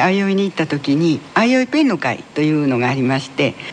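Fairly quick male speech with very wide pitch swings over noticeable background noise. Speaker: folk tale writer and playwright. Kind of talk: interview.

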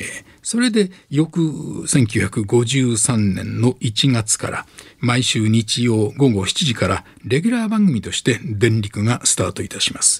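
Very slow and somewhat breathy, a man speaks at a medium pitch with lively intonation. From Onomichi, Hiroshima, Japan. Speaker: retired radio announcer. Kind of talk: lecture. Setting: studio.

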